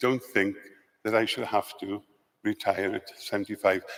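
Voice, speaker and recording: This man speaks with a Welsh accent. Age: 70s. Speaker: lay church representative. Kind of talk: formal question at assembly. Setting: convention centre assembly.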